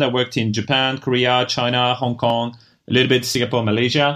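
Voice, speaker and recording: Very fast speech from a man in a French accent, medium in pitch, against a quiet background. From France. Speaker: venture investor. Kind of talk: interview.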